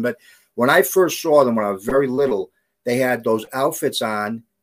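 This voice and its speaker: Speaking at a fairly quick pace, a man with a New York accent holds a medium pitch. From the Bronx, New York. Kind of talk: casual interview. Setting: video call.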